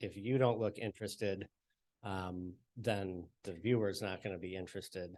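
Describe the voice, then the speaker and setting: A man's mumbling voice, fairly low in pitch, at a moderate pace with fairly even intonation. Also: quiet background. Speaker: TV reporter. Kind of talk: panel discussion. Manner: soft-spoken.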